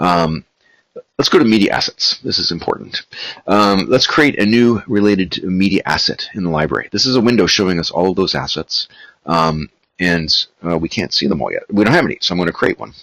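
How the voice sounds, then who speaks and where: A man's fairly low voice with lively intonation at a fairly quick pace, dry and close with no echo. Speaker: software company founder giving demo. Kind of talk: tutorial. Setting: webinar. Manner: many filler words; fast.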